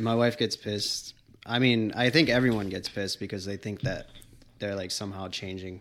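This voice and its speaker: A fairly low-pitched man with an American accent at a fairly quick pace. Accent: slight Boston accent, slips when excited. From Massachusetts (Wareham). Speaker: professional skateboarder. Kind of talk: casual chat.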